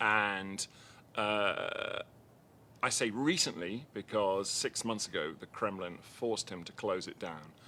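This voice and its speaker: A man speaks with an English accent and a very deep, low pitch. His tone is bright and sharp. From Liverpool, England. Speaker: documentary filmmaker. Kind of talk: interview. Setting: live media room at festival.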